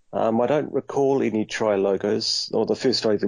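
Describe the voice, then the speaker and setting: Fairly quick delivery in a New Zealand accent with ordinary pitch variation. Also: man. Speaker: toy collector. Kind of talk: casual chat.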